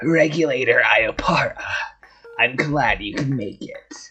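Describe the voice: Over music in the background, a raspy, put-on character voice in a middle pitch speaks at a fairly slow pace.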